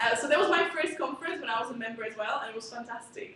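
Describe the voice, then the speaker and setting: Speaking very fast, a woman with a Slovak accent uses a high pitch and lively intonation. Her voice carries audible room echo over noticeable background noise. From Slovakia. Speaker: student conference chair. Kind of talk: conference speech. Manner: casual, hesitant with many fillers.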